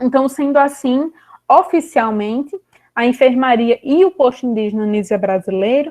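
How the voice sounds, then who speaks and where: High-pitched female speech at a moderate pace, with ordinary pitch variation. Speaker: historian researcher presenting a course lecture. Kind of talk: lecture.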